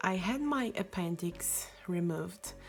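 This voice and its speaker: With music in the background, the speaker talks in a non-native accent. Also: woman. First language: not English. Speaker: YouTuber. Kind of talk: storytelling. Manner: halting; casual.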